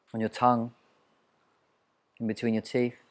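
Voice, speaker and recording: The voice belongs to a man with a medium pitch. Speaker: mindfulness coach. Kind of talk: guided mindfulness exercise.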